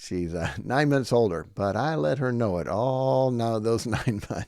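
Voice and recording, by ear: Here, someone is reading aloud in a natural voice.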